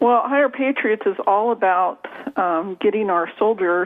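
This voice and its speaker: A woman talks with an ordinary speaking voice, her pitch varying in an ordinary way as she goes at a fairly slow pace. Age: 60s. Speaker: author and trauma coach. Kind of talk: radio interview. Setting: radio show.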